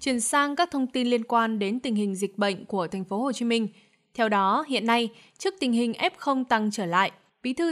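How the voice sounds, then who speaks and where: A woman with a plain, everyday voice speaks at a fairly high pitch and moderate pace, her intonation lively, on a very clean recording with a silent background. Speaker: news presenter. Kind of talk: news reading. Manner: formal.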